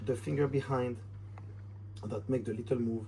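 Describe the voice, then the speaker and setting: A man speaks with a French accent in a dark, mellow tone that is somewhat breathy. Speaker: magician. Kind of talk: tutorial. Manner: casual, slightly halting.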